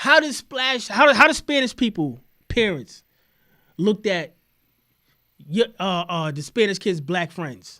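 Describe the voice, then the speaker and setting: In a very clean recording with a silent background, a man uses a raised, projected voice with a high pitch, a bright, sharp tone and very wide pitch swings, moving at a fairly slow pace with long, frequent pauses. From New York. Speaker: podcast host. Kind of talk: heated debate. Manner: animated.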